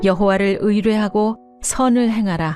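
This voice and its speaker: With music in the background, a woman speaks fairly slowly at a medium pitch and with fairly even intonation. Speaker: announcer. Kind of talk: scripture reading.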